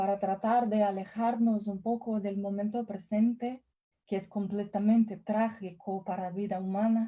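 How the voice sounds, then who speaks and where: A woman's fairly high, somewhat breathy voice with a dark, mellow tone, very slow pace and fairly even intonation. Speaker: professor. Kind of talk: lecture.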